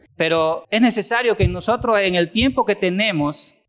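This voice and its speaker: In a very clean recording with a silent background, a man speaks at a high pitch with lively intonation. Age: 50s. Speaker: church network leader preaching. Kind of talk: sermon.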